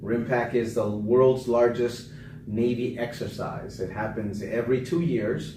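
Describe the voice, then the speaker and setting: Fairly slow speech with fairly even intonation and audible room echo. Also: man, medium pitch for a man. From Panama, raised in US from age five. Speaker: political candidate and navy veteran. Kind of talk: interview.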